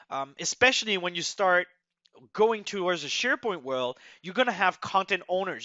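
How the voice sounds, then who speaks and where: With a slight French accent, a man speaks at a fairly quick pace in a high pitch with lively intonation. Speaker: software migration expert, webinar presenter. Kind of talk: webinar presentation.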